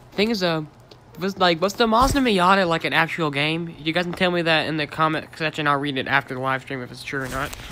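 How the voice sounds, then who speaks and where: Noticeable noise fills the background. The talking goes at a very fast pace. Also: man, fairly high pitch for a man, ordinary pitch variation. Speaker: gaming streamer. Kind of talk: live stream game walkthrough. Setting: screen-recorded live stream. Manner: casual, filler-heavy.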